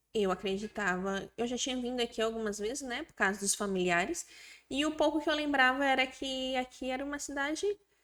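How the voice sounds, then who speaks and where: A woman speaks at a moderate pace in a high pitch with lively intonation. The recording is very clean, with a silent background. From another Brazilian state, not Maranhão. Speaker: business founder. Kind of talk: interview.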